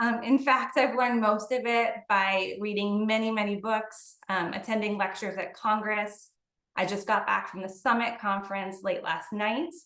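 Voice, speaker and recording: A woman's fairly high voice with a bright, sharp tone, a moderate pace and audible room echo. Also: ordinary pitch variation. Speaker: company CEO presenting to gym owners. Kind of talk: webinar presentation. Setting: online webinar.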